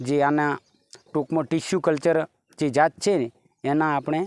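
This man has a plain, everyday voice, pitched fairly high. His intonation is fairly even, and the sound is dry and close with no echo. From Gujarat, Banaskantha district (north Gujarat). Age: 40s. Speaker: farmer. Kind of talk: interview.

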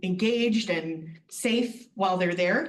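At a moderate pace, a woman with a medium pitch talks in a somewhat breathy voice and fairly even intonation, with audible room echo. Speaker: extension district director. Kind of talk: meeting report. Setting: county board meeting.

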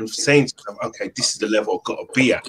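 The speaker is a man. He talks with a London accent. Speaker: football podcast host. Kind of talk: casual chat. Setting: video call. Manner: animated.

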